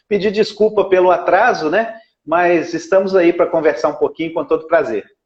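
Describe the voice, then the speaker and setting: Speaking at a moderate pace, a man keeps a high pitch and fairly even intonation. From Brazil, Belo Horizonte (Minas Gerais). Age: 50s. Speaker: lawyer and radio broadcaster, local political candidate. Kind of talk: interview. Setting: Instagram live video call.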